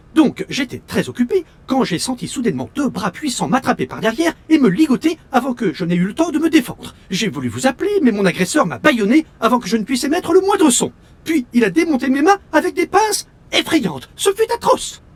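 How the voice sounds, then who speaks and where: The speaker puts on a character voice, pitched high and moving at a fairly quick pace. The pitch swings very widely. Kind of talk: mannered, stiff politeness. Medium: video game. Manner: formal, pompous, precise diction.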